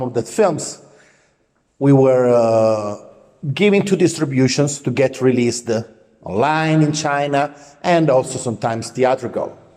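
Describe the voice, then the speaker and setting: A man with an Italian accent speaks at a fairly slow pace. His dark, mellow tone sits at a fairly high pitch. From Italy. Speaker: film producer. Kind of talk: self-introduction monologue. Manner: halting, many filler words.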